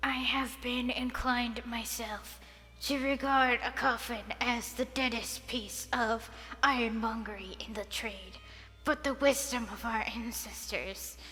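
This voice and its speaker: This woman puts on a character voice pitched high. Background noise can be clearly heard. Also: fairly slow pace. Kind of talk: Dickensian narration. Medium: read story. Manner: melancholy, flat.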